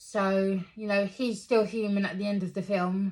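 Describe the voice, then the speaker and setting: A fairly slow, somewhat breathy woman's voice. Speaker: movie reviewer. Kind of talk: casual review monologue. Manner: hesitant, many fillers.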